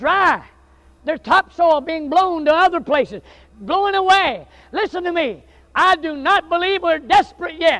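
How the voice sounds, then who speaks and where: A man with a Southern US accent projects a raised, extremely high voice in a bright, sharp tone. Animated and passionate, he keeps a moderate pace with ordinary pitch variation over a quiet background. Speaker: Baptist preacher. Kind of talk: sermon, revival-style preaching with folksy humor early on. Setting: church with live congregation. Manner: animated, passionate, fervent, building to intense pleading; conversational, joking, self-deprecating, with audience interaction. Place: church.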